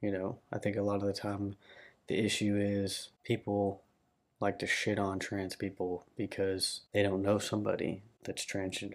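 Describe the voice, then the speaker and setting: A man with a fairly low pitch and a Southern US accent speaks at a moderate pace with monotone, flat intonation. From Arkansas, Little Rock area. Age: 20s. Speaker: vlogger. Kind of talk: personal vlog monologue.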